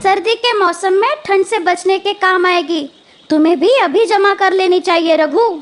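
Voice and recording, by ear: A female-sounding cartoonish character voice speaks at a moderate pace. Its pitch is extremely high.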